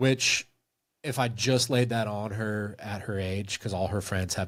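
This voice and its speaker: Over a silent background in a very clean recording, an unremarkable speaking voice talks with fairly even intonation. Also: man. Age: 40s. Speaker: movie review video creator. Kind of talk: casual interview chat on a livestream.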